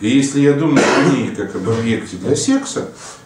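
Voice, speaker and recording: Light background noise and audible room echo accompany a man as he talks. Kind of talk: lecture-style explanation to camera. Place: office.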